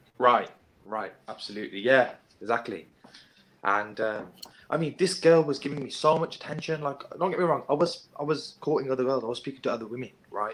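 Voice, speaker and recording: With noticeable background noise, a man with a British accent talks at a fairly quick pace using lively intonation. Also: fairly high pitch for a man. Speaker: domestic abuse survivor. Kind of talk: testimony in a panel discussion. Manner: casual, hesitant with fillers.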